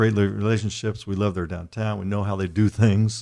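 A fairly low-pitched man with an Indiana accent, in a very clean recording with a silent background. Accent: Midwestern US (Indiana). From Indianapolis, Indiana. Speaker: sports journalist. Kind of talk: interview conversation.

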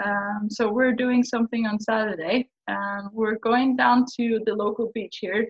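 Speaking with a Faroese accent, a woman talks with hardly any pauses. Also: fairly high pitch for a woman. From Faroe Islands. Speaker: scuba diver and brand ambassador. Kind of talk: casual podcast interview. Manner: fast talker, excitable about diving.

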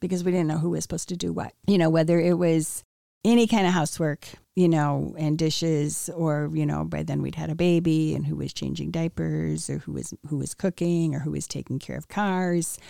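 A woman speaks at a fairly quick pace with an American accent, on a very clean recording with a silent background. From US Midwest, Wheaton, Illinois. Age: 60s. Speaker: interviewee sharing life story. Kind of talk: testimony.

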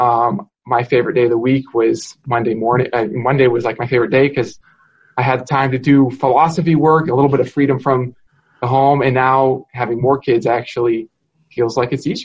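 Somewhat breathy and monotone, a man talks at a fairly quick pace with flat intonation. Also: medium pitch for a man. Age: young. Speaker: philosophy professor. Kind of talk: casual academic conversation.

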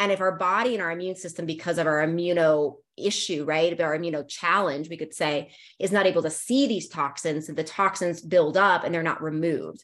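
A woman with an American accent speaks in a fairly low pitch at a fairly quick pace, with ordinary pitch variation, hardly any pauses, and an unremarkable speaking voice. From US, Northern Virginia. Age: 40s. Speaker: naturopathic doctor. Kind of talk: interview. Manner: casual, many fillers.

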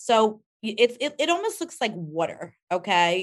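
Delivered at a fairly slow pace over a quiet background, this is an unremarkable speaking voice with an American accent. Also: woman. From New York, Rockland County. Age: 50s. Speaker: cosmetics company founder. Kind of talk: interview.

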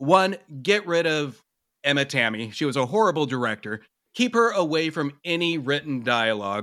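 A man speaks at a moderate pace in a bright, sharp tone, his pitch swinging very widely. The recording is very clean, with a silent background. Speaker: film podcaster. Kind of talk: casual chat.

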